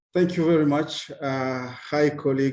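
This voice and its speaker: Speaking with a French accent, a man keeps his intonation fairly even and his pace fairly slow. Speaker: public health official. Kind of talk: presentation intro.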